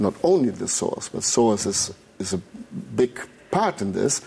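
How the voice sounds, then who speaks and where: A man speaks with a non-native accent. His tone is dark and mellow, with lively intonation. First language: not English. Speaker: therapist, trauma exercise instructor. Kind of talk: interview. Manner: halting.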